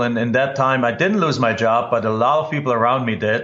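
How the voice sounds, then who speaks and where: A man speaks with a German accent and ordinary pitch variation. The room echo is audible. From Germany. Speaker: real estate investor and educator. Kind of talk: podcast interview. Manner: halting.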